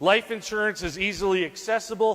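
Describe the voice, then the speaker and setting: A man's high-pitched, raised and projected voice with a bright, sharp tone. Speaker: financial advisor. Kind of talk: sales pitch. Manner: animated.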